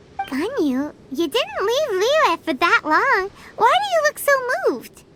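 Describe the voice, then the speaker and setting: A put-on character voice at an extremely high pitch swings very widely at a fairly slow pace, with faint music in the background. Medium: machinima. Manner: energetic, chirpy.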